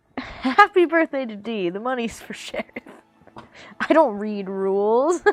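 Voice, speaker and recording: At a fairly slow pace, a woman with a fairly high pitch speaks with lively intonation, big swings in loudness, and long, frequent pauses. Noticeable background noise is present. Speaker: streamer. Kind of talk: casual chat with livestream viewers. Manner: casual, chatty.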